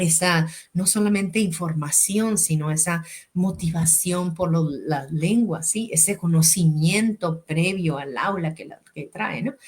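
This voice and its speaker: Against noticeable background noise, a woman with a fairly low pitch speaks at a very slow pace, her loudness swinging widely and her pitch varying in an ordinary way. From Mexico, Sonora. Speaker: educator and language school director hosting podcast. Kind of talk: interview. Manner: hesitant, many fillers and repetitions.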